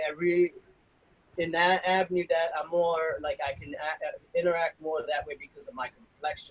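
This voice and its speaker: Moderate-paced male speech, close and dry, free of any echo. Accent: strong New York. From New York City, the Bronx (Puerto Rican family). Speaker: federal law enforcement officer. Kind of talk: interview. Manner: casual, hesitant with fillers.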